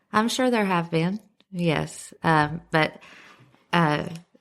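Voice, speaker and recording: Bubbly in tone, a woman with a strong Southern accent talks at a fairly low pitch with ordinary pitch variation. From US South, Henry County, Tennessee. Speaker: school resource officer. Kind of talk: casual interview chat.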